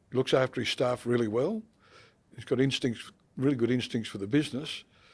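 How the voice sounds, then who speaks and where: A speaker with an Australian accent talks at a fairly quick pace with fairly even intonation. The loudness swings widely. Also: man, medium pitch for a man. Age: old. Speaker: accounting firm partner and podcast co-host. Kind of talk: casual chat. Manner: halting.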